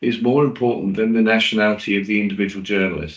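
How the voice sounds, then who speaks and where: With a British accent, a man talks at a medium pitch with fairly even intonation. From Britain. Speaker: journalist and PR specialist. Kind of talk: webinar presentation. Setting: online webinar.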